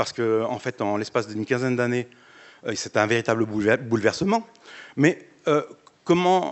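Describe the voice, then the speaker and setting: A man speaks at a fairly quick pace with long, frequent pauses. His medium pitch carries lively intonation. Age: 60s. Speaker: audience member. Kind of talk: audience question. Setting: auditorium with audience. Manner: casual, hesitant.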